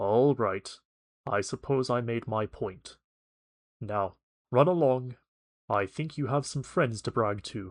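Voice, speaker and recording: A man does a put-on character voice that rumbles, at medium pitch with ordinary pitch variation. He speaks at a fairly slow pace with long, frequent pauses over a quiet background. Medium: read story. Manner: hearty, good-humored.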